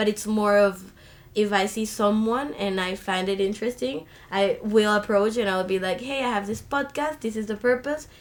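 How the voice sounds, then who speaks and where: A woman with a Spanish accent speaks at a moderate pace and medium pitch, with ordinary pitch variation. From Colombia, Caribbean coast. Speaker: university student. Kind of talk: podcast interview. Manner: animated.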